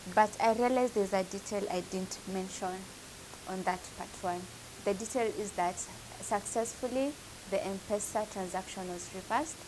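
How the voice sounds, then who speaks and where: Noticeable background noise accompanies a woman speaking at a moderate pace in a medium pitch with ordinary pitch variation. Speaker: vlogger. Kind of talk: personal testimony vlog.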